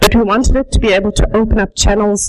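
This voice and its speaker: The delivery is at a fairly quick pace in a slight South African accent. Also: woman. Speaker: sheep rancher. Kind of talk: conference presentation. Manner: fast.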